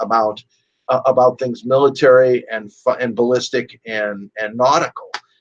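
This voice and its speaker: A normal speaking voice with an American accent. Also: man. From US Midwest, Chicago. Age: 60s. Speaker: gun rights advocate and radio host. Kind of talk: interview.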